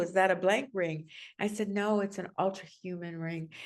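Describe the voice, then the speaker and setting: In a plain, everyday voice, a woman speaks with fairly even intonation against a quiet background. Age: 60s. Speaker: healthcare strategist and nurse advocate. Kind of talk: interview conversation. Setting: podcast.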